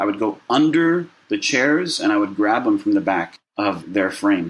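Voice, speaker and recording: This man speaks with a General American accent. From Southern California (Burbank). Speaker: mental health organization founder. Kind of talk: interview. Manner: halting.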